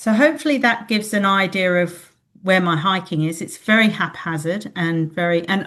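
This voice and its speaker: Woman with an Australian accent, fairly low-pitched, moderately paced, with ordinary pitch variation. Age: 60s. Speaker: retired librarian, podcast guest. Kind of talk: interview. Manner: halting.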